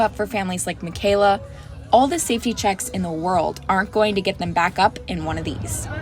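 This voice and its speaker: Music plays in the background as a woman with an American accent talks at a fairly quick pace. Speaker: student reporter. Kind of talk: TV news reporter delivery.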